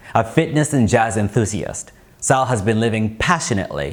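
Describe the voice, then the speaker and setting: There is noticeable background noise in this clip. A man speaks with lively intonation. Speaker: interviewer. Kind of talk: documentary narration.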